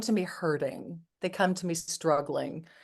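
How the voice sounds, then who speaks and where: A woman talks in a plain, everyday voice at medium pitch. Her pace is fairly slow, with ordinary pitch variation. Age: 60s. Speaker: psychotherapist. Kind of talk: interview.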